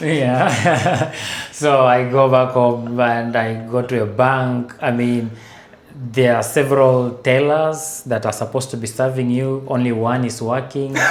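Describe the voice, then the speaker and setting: Amid noticeable background noise and audible room echo, a man at a medium pitch speaks at a fairly slow pace with monotone, flat intonation. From Kenya. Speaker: renewable energy engineer. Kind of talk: podcast interview. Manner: conversational, many fillers.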